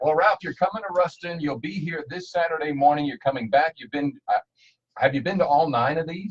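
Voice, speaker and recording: Speaking with an American accent in an ordinary speaking voice, a man talks at a fairly quick pace and fairly high pitch, with ordinary pitch variation and big swings in loudness. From New Jersey. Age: 60s. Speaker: radio host. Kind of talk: radio interview. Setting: studio.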